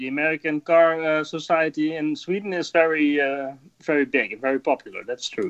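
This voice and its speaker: A man with a Dutch accent, fairly high pitch, a monotone, flat intonation and a fairly quick pace. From Netherlands. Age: 30s. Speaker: rally driver. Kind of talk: casual interview.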